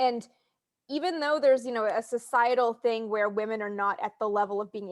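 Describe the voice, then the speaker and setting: In an ordinary speaking voice, a woman talks at a fairly quick pace with a fairly high pitch and ordinary pitch variation, the sound dry and close with no echo. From Canada. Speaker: spaceflight historian and author. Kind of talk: casual interview.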